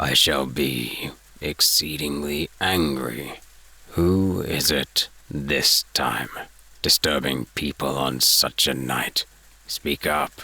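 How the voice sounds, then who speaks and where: In a put-on character voice, a man growls out his words at a very slow pace, gruff and raspy with a very deep, low pitch. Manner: suspicious, irritable.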